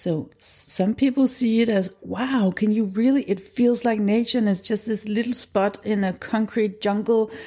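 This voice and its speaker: Over a very clean recording with a silent background, a somewhat breathy voice with a Danish accent moves at a moderate pace with ordinary pitch variation. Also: woman. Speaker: documentary film director and school founder. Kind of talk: interview.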